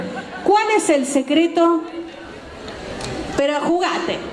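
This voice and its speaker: Noticeable background noise behind a woman's lively intonation. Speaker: event interviewer, host. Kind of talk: live event interview. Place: hall. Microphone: handheld.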